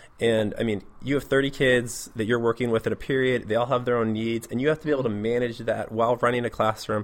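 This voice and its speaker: The speech runs at a very fast pace with hardly any pauses, in a West Coast US accent and monotone, flat intonation. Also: man, medium pitch for a man. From US Pacific Northwest, Portland, Oregon. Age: 30s. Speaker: middle school teacher. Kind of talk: interview.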